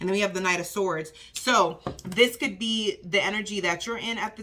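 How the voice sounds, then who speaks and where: A woman's medium-pitched voice at a moderate pace over noticeable background noise. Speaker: tarot reader. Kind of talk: tarot reading livestream. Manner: casual, animated.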